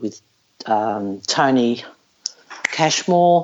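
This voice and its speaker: A woman's lively intonation in an Australian accent. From Australia, Melbourne. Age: 60s. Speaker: retired professional golfer. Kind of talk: casual interview. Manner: blunt.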